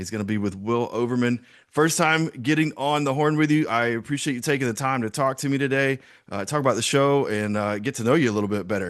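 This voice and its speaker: A man with a Southern US accent and medium pitch, talking at a very fast pace with ordinary pitch variation over a quiet background. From US South (South Georgia). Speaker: podcast host. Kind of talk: interview.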